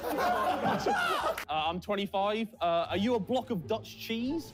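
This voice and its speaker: A high-pitched man with a British accent talks with hardly any pauses, lively intonation and very even loudness over noticeable background noise. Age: 20s. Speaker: contestant delivering pickup lines.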